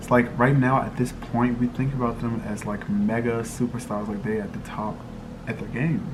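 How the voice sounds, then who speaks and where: A man talks with fairly even intonation. Noticeable background noise and audible room echo surround him. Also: medium pitch for a man, moderate pace. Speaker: lifestyle vlogger. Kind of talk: casual vlog monologue.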